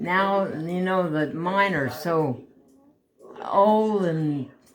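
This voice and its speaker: Over noticeable background noise, a woman speaks very slowly at a fairly low pitch with ordinary pitch variation. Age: 80s+. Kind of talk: interview answer.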